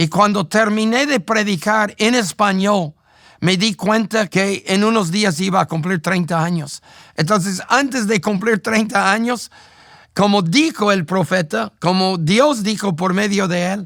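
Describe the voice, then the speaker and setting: This speaker has an English accent and a fairly slow pace. Pitch variation is ordinary. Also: man, high pitch for a man, very clean recording, silent background. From United States. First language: English (speaking Spanish). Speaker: pastor. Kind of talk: testimony.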